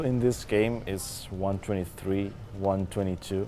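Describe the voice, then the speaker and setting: Speaking with a Spanish accent, a man talks at a fairly slow pace. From Spain. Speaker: speedrunner. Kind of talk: live commentary while gaming. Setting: stage with live audience. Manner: halting.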